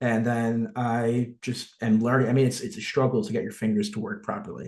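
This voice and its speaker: A man talks at a fairly quick pace with a slight New Jersey accent. His pitch is medium, with ordinary variation. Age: 20s. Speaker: social media influencer. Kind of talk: casual chat.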